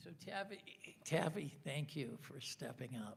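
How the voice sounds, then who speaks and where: A man speaks with vocal fry. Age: 60s. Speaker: city council candidate. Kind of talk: candidate forum answer. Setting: auditorium with live audience.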